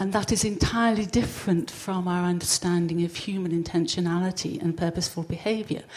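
Her voice somewhat breathy, a woman talks fairly quickly. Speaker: audience member. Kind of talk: audience question. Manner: formal.

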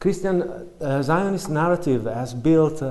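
In an Italian accent, a man speaks at a moderate pace with a dark, mellow tone. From Italy. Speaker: academic researcher. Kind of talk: academic talk. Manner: halting.

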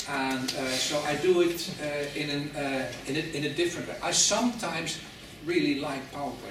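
Over noticeable background noise and audible room echo, a man with a Dutch accent speaks in a fairly high voice with ordinary pitch variation. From Netherlands. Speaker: professor. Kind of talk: lecture. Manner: halting.

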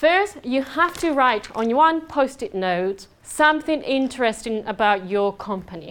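A woman with a high-pitched voice swings her pitch very widely. She goes at a fairly slow pace and barely pauses. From southern Spain. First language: Spanish. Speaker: conference speaker on business networking. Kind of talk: presentation to a live audience. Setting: stage with audience. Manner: animated.

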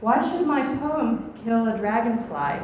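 Speaking at a fairly slow pace with an American accent, a woman uses a fairly high pitch, with noticeable background noise and audible room echo. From US South, Atlanta, Georgia. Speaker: poet and English lecturer. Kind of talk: poetry reading.

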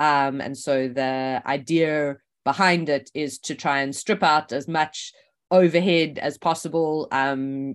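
Against a quiet background, a woman speaks with a very deep, low pitch and fairly even intonation. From South Africa. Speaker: economics professor. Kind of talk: oral history interview.

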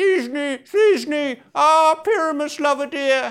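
Speaking at a very slow pace, a man puts on a squeaky character voice with an extremely high pitch. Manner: theatrical, pleading.

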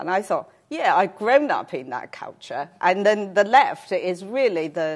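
A woman with a Chinese accent speaks at a fairly slow pace. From China. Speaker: cancer researcher. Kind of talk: lecture. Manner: halting, many fillers.

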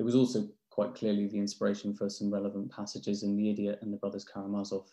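In a quiet background, a man with a British accent talks very fast in a fairly low, dark and mellow voice with monotone, flat intonation. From England, London. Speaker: novelist and publisher. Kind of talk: academic talk. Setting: video call.

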